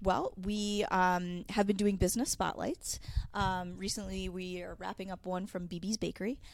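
A woman talks in an American accent at a medium pitch. Her delivery is monotone, with flat intonation. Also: moderate pace. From Connecticut (Manchester). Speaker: television producer, media center director. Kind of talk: casual interview. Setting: studio. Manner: hesitant, many fillers.

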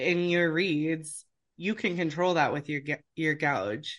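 A woman's unremarkable speaking voice in an American accent, fairly low in pitch, with ordinary pitch variation and a fairly slow pace, over a quiet background. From US Pacific Northwest, Seattle. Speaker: oboe professor and orchestral English horn player. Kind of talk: interview, casual chat.

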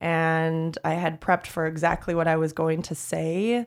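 With an ordinary speaking voice, a woman at a fairly low pitch talks at a moderate pace in a very clean recording with a silent background. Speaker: PR agency owner. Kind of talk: interview, casual conversation.

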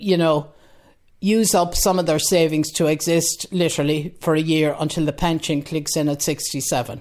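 On a very clean recording with a silent background, a woman with an Irish accent talks at a moderate pace in a fairly low voice with fairly even intonation. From west of Ireland. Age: 70s. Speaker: retired voter. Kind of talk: interview.

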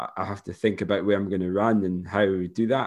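Against a quiet background, a man with a Scottish accent speaks at a fairly low pitch with fairly even intonation. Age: 30s. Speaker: running podcast co-host. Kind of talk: casual chat. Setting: remote call.

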